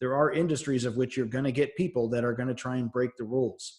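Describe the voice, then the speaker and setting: The pace is fairly quick. A man talks with ordinary pitch variation. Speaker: teacher. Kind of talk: recorded lecture. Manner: fast.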